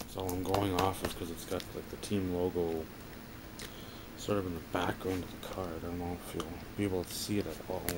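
Loud noise fills the background as a man talks at a fairly quick rate. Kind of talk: casual vlog commentary. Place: home room. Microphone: phone near.

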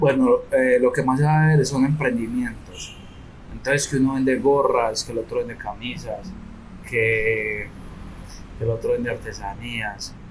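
A man speaks at a fairly slow pace. Light background noise is present. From Colombia, Medellín (Comuna 13); Colombia. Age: young. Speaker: tour guide and community entrepreneur; community tour guide, guest. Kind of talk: interview. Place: hall. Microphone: studio mic.

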